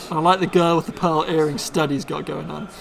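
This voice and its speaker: A man with a Bristol accent speaks at a high pitch over noticeable background noise. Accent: Bristolian English. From Bristol, England. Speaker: card game streamer. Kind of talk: live stream commentary. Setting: live stream.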